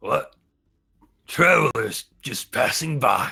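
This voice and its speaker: A man in a put-on character voice, raspy, at a very slow pace. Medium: actual play. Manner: suspicious, mocking.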